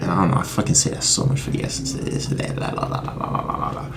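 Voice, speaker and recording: Noticeable background noise runs behind a man speaking with lively intonation. His voice carries audible room echo. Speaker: music YouTuber. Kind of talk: casual vlog monologue. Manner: fast; halting.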